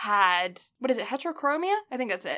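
With an English accent, a woman speaks at a moderate pace. Her voice is high-pitched, with a bright, sharp tone. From England. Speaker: anime podcast co-host. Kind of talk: casual chat; plot recap. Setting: home, remote recording.

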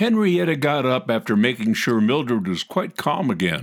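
A man talks with vocal fry at a moderate pace. His pitch swings very widely. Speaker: announcer and narrator. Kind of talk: announcing and narration.

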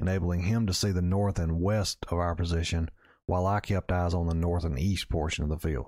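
In a Southern US accent, a man speaks at a very deep, low pitch and a very fast pace with fairly even intonation. The recording is very clean, with a silent background. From Mississippi. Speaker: outdoor storytelling podcaster. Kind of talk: scripted narration. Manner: measured storytelling.

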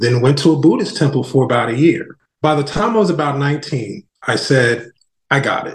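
A man speaks at a moderate pace with a fairly high pitch and lively intonation. His voice is somewhat breathy. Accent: American. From New Jersey. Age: 40s. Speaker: non-profit founder. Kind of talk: podcast interview.

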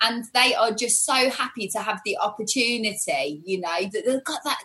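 A woman's fairly high voice, lively in intonation, at a moderate pace over noticeable background noise. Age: 40s. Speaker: salon owner and hair stylist. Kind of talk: casual interview chat.

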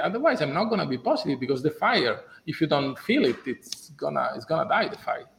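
A man speaks at a very fast pace with an Italian accent. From Italy. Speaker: business executive. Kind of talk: interview. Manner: halting.

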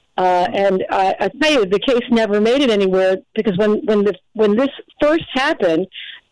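A woman's plain, everyday voice at medium pitch, with lively intonation and a moderate pace. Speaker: caller. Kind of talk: casual chat.

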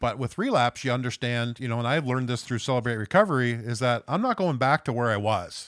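A very fast voice with an Atlantic Canadian accent, in a very clean recording with a silent background. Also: man, medium pitch for a man, ordinary pitch variation, hardly any pauses. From West Saint John, New Brunswick, Canada. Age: 50s. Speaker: recovery ministry member, charity manager. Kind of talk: personal testimony in conversation.

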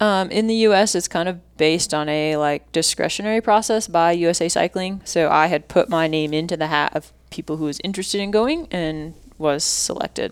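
A woman's fairly low-pitched, a plain, everyday voice, fairly quick with hardly any pauses and ordinary pitch variation, on a very clean recording with a silent background. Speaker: competitive mountain bike racer. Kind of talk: casual interview chat.

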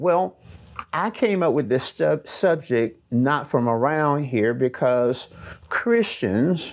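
With a Southern US accent, a man talks at a fairly high pitch with lively intonation against a quiet background. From US South, Alabama. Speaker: pastor. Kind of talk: sermon. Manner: animated.

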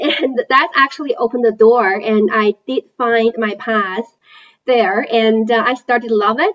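A woman with a Chinese accent speaks in a high voice. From China. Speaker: investment analyst. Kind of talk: interview.

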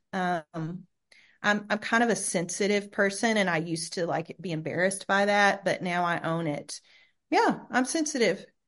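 A woman with an American accent and an unremarkable speaking voice talks at a moderate pace and medium pitch, with ordinary pitch variation and a quiet background. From US South, rural Arkansas. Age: 50s. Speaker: university chaplain and preacher. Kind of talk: interview.

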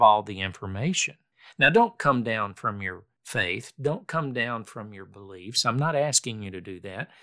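In a very clean recording with a silent background, a man talks at a moderate pace. He has an unremarkable speaking voice with lively intonation. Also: big swings in loudness. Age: 60s. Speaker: podcast host. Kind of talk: solo reflective monologue on faith. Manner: calm, conversational.

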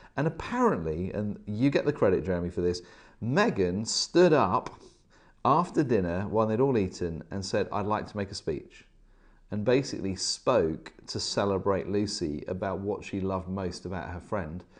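A man talks with lively intonation against a quiet background. It is an ordinary speaking voice. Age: 40s. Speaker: leadership coach. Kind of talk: casual chat.

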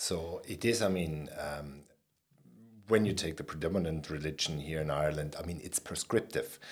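The speaker has a non-native accent and ordinary pitch variation. Delivery is at a moderate pace. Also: man, very deep, low pitch for a man. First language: not English. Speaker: podcast host. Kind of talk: interview conversation.

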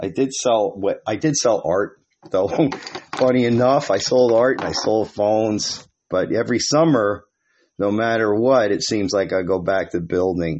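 A man with an unremarkable speaking voice. His pitch varies in an ordinary way. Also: fairly low pitch for a man, moderate pace. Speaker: podcast host. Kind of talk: casual monologue. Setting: outdoors.

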